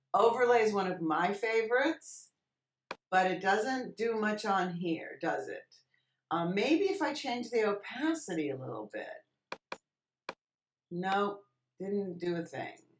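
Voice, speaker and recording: Speaking very slowly with long, frequent pauses, a woman with a medium pitch for a woman uses lively intonation. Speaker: Photoshop tutorial instructor. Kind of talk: tutorial. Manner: casual, thinking aloud.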